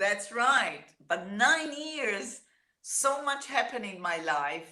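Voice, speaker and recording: A woman with an Israeli accent speaks at a very slow pace in a fairly high pitch that swings very widely. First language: Hebrew. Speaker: singer-songwriter. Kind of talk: interview.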